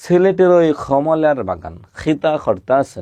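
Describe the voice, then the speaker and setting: Using a put-on character voice, a man speaks fairly high and breathy at a moderate pace with lively intonation. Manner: demonstrating a regional dialect.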